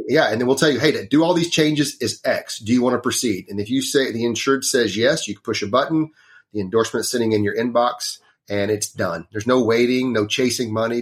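A man of medium pitch speaks with a Texan accent. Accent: Texan, noticeable. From Northeast Texas, small town. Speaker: trucking insurance specialist. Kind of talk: casual interview. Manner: easygoing, self-deprecating.

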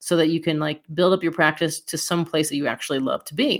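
A woman in a plain, everyday voice, fairly low in pitch, at a fairly quick pace, on a very clean recording with a silent background. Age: 40s. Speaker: chiropractor and podcast host. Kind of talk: solo podcast monologue. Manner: casual, filler-heavy.

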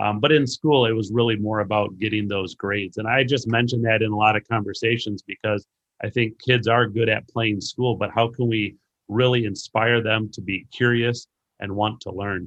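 Using a plain, everyday voice, a man speaks at medium pitch and a moderate pace with fairly even intonation. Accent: American. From US Midwest, Racine, Wisconsin. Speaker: education curriculum director and author. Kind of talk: interview about education.

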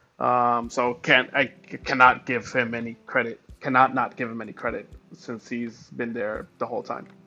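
A man talks with hardly any pauses, in a bright, sharp tone. His intonation is monotone and flat, but his loudness swings widely. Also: medium pitch for a man, moderate pace. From Colombia. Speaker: NFT project founder and front-end developer. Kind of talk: casual interview chat.

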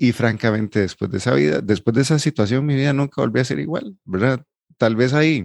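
A man's medium-pitched voice with lively intonation, dry and close with no echo. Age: 40s. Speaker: psychologist and financial coach, podcast co-host. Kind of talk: casual chat. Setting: studio recording, 7am on a Saturday.

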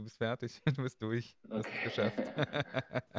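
A man speaks in an ordinary speaking voice at a medium pitch. His pace is fairly slow, and the sound is dry and close with no echo. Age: 30s. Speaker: podcast host. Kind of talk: casual chat.

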